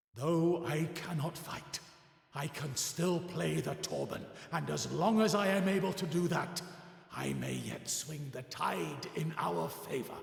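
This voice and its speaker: Someone uses a put-on character voice at a fairly slow pace, with slight echo. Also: man, fairly high pitch for a man. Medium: game stream. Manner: solemn, dignified.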